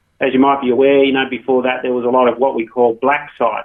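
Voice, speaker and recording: With an Australian accent, a man talks in a medium register. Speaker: gaming company founder. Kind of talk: radio interview. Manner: many fillers (um, uh).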